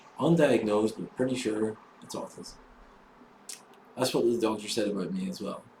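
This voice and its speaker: A man talks at a moderate pace with lively intonation. Noticeable background noise runs underneath. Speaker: vlogger. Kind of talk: casual monologue. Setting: solo camera recording. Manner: halting.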